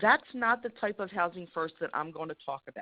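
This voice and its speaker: In an American accent, a woman with a medium pitch speaks with lively intonation. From Philadelphia, US. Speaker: housing program presenter. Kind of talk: webinar presentation. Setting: webinar. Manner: fast.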